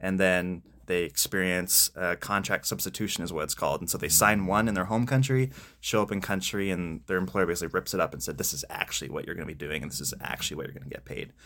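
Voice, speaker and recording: Talking very fast with lively intonation, a man with a very deep, low voice has a bright, sharp tone and vocal fry. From Pennsylvania, US (Spring Grove). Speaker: missionary. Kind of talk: interview.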